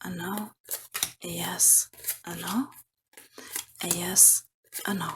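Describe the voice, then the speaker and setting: A woman speaks at a very slow pace with fairly even intonation, a medium pitch, and long, frequent pauses. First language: not English. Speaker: tarot reader. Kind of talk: tarot reading.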